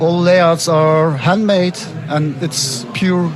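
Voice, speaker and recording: A man with a Turkish accent speaks with a fairly high pitch and ordinary pitch variation. Noticeable background noise is present. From Istanbul, Turkey. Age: 30s. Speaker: artist, zine publisher and curator. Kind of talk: interview. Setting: art book fair. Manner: slightly halting.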